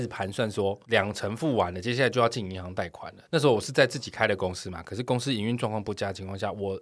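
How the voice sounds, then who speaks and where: Fast and clean, a man speaks at a very fast pace on a very clean recording with a silent background. His pitch is fairly low, with ordinary pitch variation. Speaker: podcast co-host. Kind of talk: casual chat.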